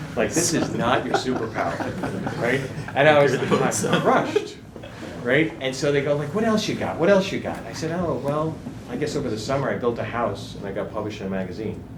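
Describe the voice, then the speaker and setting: A man with an American accent talks at a fairly quick pace with lively intonation and a fairly high pitch, over noticeable background noise and audible room echo. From New England, US. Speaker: guest speaker on marketing. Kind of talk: workshop talk. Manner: animated.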